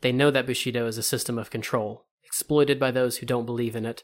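An unforced reading voice moves with fairly even intonation over a quiet background.

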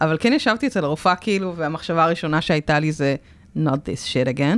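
Her pitch fairly low, a woman's voice swings very widely up and down. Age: 30s. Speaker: podcast host, breast cancer survivor. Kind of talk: casual chat. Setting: radio studio.

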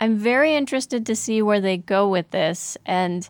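A woman speaks at a fairly slow pace in a dry, close recording with no echo. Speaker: podcast co-host. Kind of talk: casual chat about anime.

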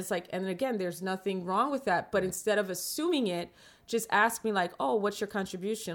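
On a very clean recording with a silent background, a woman with a New York accent talks at a fairly quick pace in a medium pitch. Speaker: film director and producer. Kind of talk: casual interview. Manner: talkative.

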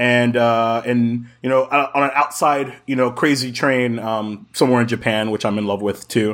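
At a moderate pace and medium pitch, a man speaks with hardly any pauses on a very clean recording with a silent background. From Jacksonville, Florida. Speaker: podcast guest, gaming community member. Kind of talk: casual chat. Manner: loud; animated.

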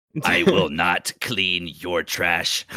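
A put-on character voice from a man, very deep and low in pitch, raspy, robotic and menacing in tone. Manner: menacing, evil.

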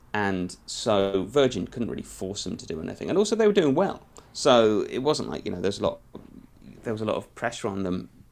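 A man in a British accent, fairly quick, with big swings in loudness. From UK. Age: 40s. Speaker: music journalist. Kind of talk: interview conversation. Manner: halting.

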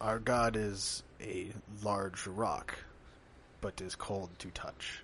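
Very slow, fairly low-pitched put-on character voice from a man, with long, frequent pauses and clear background noise. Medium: actual play. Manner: terse, simple phrasing.

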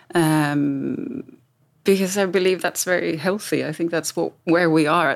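Vocal fry runs through a woman's speech at a moderate pace. The recording is very clean with a silent background, and her pitch variation is ordinary. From Sweden. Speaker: strategic designer and author. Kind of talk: panel discussion.

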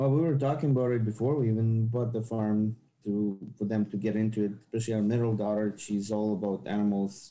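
Fairly low in pitch, a man talks at a fairly quick pace with a plain, everyday voice. His intonation remains fairly even. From outside Canada, lived in three countries. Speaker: automotive tradesperson and farm owner. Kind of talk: interview.

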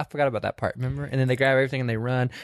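The man's pitch is fairly high and his tone animated. His voice sounds dry and close, with no echo. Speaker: podcast host. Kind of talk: casual chat. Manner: animated, joking.

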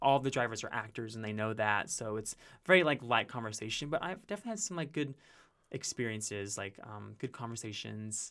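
A man with a slight Carolina accent speaks at a medium pitch with ordinary pitch variation. His tone is bright and sharp, in a very clean recording with a silent background. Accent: slight Carolina touch. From Carolinas, US South (raised partly in Utah). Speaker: musical theater performer. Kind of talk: casual chat.

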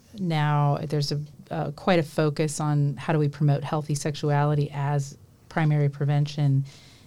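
The delivery is fairly slow, with a dark, mellow tone. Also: woman. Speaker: university professor and book co-editor. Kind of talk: radio interview.

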